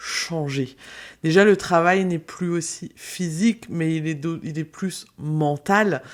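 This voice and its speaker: A woman with an Alsatian accent speaks very slowly at a fairly low pitch, her intonation fairly even, on a very clean recording with a silent background. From France, Alsace. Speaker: business mentor, podcaster. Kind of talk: podcast monologue.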